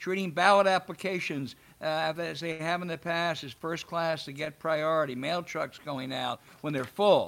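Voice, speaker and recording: A plain, everyday voice from a man, moderate in pace, fairly high pitched, with ordinary pitch variation. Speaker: podcast host. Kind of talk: interview.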